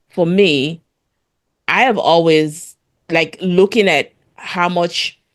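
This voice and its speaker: Speaking very slowly with long, frequent pauses, a woman uses a fairly low pitch and ordinary pitch variation. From Sierra Leone. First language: Krio (Sierra Leone Creole). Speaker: podcast co-host. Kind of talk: casual chat. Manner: halting, many fillers and repeats.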